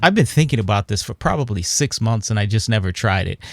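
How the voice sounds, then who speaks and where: Heard in a dry, close sound with no echo, a man speaks with a fairly low pitch and a somewhat breathy voice. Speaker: online digital art teacher. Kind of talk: casual talk to camera. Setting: home studio.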